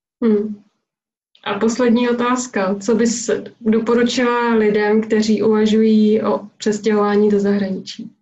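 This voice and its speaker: A woman speaks fairly slowly in a fairly high, somewhat breathy voice, her intonation flat and monotone and her loudness very even. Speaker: parenting and travel blogger. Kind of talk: interview.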